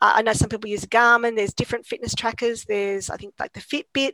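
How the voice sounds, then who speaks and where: A woman speaks in a fairly high pitch with an Australian accent. The sound is dry and close, with no echo. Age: 50s. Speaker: exercise scientist and lecturer. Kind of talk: casual interview.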